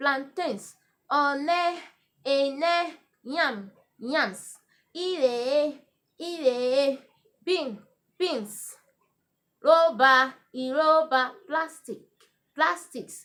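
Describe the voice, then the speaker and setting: A woman with a high voice and lively intonation speaks at a very slow pace. Her speech has long, frequent pauses. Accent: Nigerian. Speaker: Urhobo language teacher. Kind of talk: language lesson vocabulary list.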